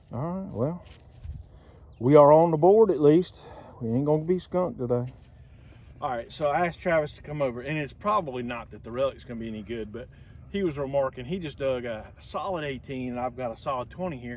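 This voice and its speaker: A man with a Southern US accent talks at a fairly quick pace in a fairly high voice. His intonation is lively and his loudness swings widely. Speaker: metal detecting relic hunter. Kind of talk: casual outdoor vlog narration. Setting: outdoors. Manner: animated; whispering.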